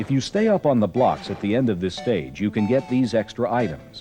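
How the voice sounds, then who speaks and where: Over music in the background, a man at medium pitch speaks at a fairly quick pace with lively intonation. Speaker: video game tips announcer. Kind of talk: instructional voiceover for game strategy tape.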